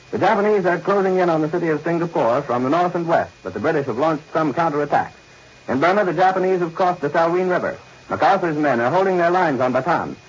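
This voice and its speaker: A man talks at a very fast pace in a high pitch with ordinary pitch variation. Noticeable background noise runs underneath. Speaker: radio news announcer. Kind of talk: 1940s radio news broadcast announcement. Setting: old radio broadcast recording.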